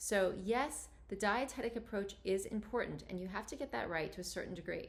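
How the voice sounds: Vocal fry runs through a woman's medium-pitched voice. She speaks at a fairly quick pace with ordinary pitch variation.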